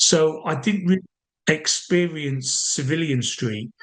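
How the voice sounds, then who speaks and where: A man speaks with an English accent and lively intonation. His voice is somewhat breathy. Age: 50s. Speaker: army veteran and sniper. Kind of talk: interview. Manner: casual, hesitant with fillers.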